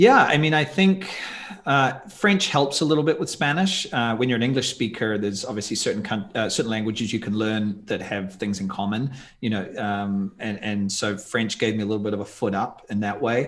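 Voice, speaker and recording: Here a man speaks with a New Zealand accent. His medium-pitched voice moves at a fairly quick pace with ordinary pitch variation. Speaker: tour company founder and video creator. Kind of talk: podcast interview.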